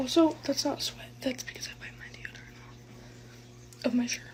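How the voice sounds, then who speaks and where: A woman speaks quietly at a moderate pace. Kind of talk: casual vent vlog. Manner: talking quietly.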